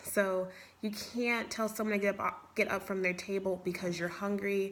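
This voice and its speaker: This woman has an American accent and a medium pitch. Her intonation is fairly even. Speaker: bakery worker. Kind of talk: mock job interview answers. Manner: fast.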